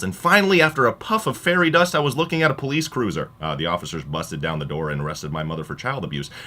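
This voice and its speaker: This man's voice sits at a medium pitch, with a bright, sharp tone and vocal fry. He speaks at a very fast pace with very wide pitch swings. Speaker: college radio DJ. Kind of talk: radio monologue with comedic storytelling.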